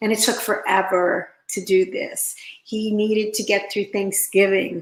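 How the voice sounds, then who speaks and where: A woman speaks at a medium pitch with an American accent. Her intonation is monotone and flat, and her pace is fairly slow. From Pennsylvania, Pittsburgh area. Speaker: interventionist. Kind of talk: interview.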